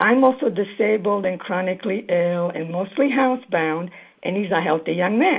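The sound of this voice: At a moderate pace, a woman with a medium-pitched voice speaks with ordinary pitch variation, a slightly husky edge and vocal fry.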